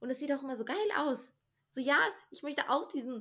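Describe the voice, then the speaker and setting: Her tone bright and sharp, a woman speaks at a high pitch with ordinary pitch variation. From US (Texas) then Germany. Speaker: podcast co-host. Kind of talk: casual chat.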